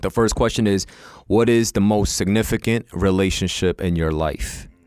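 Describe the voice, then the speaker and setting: The recording is very clean, with a silent background. A man talks at a moderate pace in an ordinary speaking voice, fairly low in pitch. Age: 30s. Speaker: podcast co-host. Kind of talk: casual interview. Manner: casual.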